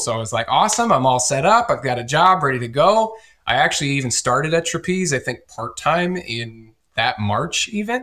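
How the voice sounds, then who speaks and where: The speaker has a Midwestern American accent and a moderate pace. The pitch moves in very wide swings. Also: man. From US Midwest, northeast Iowa. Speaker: company executive. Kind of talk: interview.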